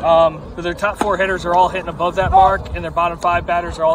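Through noticeable background noise, a man with an American accent speaks at a high pitch. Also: dry sound with no echo. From US Mid-Atlantic. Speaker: high school sports commentator. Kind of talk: live commentary. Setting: outdoors. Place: stadium.

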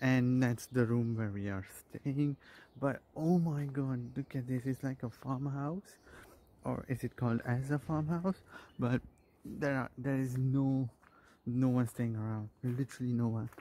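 Dry with no echo, a man's dark, mellow voice moves at a fairly slow pace with fairly even intonation. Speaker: traveler vlogger. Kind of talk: casual vlog chat. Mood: delighted, impressed. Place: garden. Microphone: phone near.

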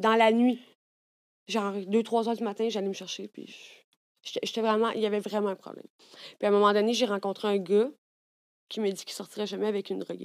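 Against a quiet background, a woman with a Quebec accent talks at a fairly quick pace with long, frequent pauses, medium pitch, monotone, flat intonation and big swings in loudness. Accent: Québécois French. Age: 30s. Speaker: content creator. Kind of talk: casual chat. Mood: candid, emotional personal stories. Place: studio. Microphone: studio mic.

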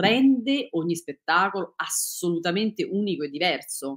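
Here a woman's voice moves through very wide pitch swings. The background is quiet. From Italy, Rome. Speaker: dancer and choreographer; interviewee. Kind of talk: interview. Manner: halting, many fillers and restarts. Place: home room.

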